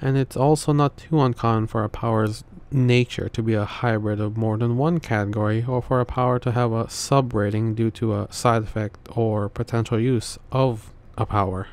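A soft-spoken man talks at a moderate pace in a dry sound with no echo. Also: fairly even intonation. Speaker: video essay narrator. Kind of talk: explainer narration about a story's power system. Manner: monotone.

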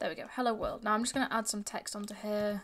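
A woman's fairly high voice with a Yorkshire accent. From northern England, Yorkshire. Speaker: programming tutor. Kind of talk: tutorial. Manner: casual, with fillers. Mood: relaxed, self-deprecating. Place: home room.

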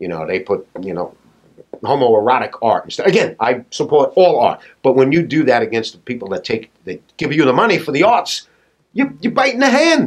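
Speaking at a moderate pace, a man talks with a New York accent. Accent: New York, non-rhotic. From Staten Island, New York. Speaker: patriotic artist; podcast guest. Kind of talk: casual interview. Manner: animated. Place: office.

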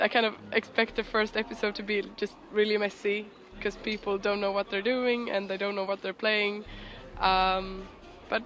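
A woman talks at a moderate pace with light background noise. The sound is dry, with no echo. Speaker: interviewee. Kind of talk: casual interview answer. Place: waterside. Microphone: phone near.

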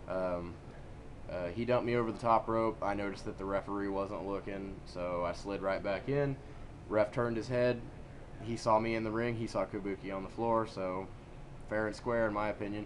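Fairly quick and fairly even in intonation, a man talks at a fairly low pitch in an unremarkable speaking voice. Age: 20s. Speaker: amateur wrestler. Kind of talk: casual chat.

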